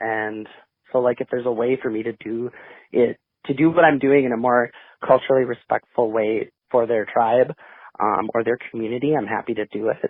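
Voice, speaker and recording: Pausing long and often, a man speaks at a medium pitch. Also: fairly even intonation. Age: 30s. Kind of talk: interview. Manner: halting, many fillers.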